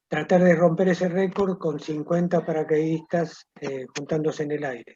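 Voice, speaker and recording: A man talks at a moderate pace with fairly even intonation and a fairly high pitch. His tone is dark and mellow, and somewhat breathy. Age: 70s. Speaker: war veteran. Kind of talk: interview.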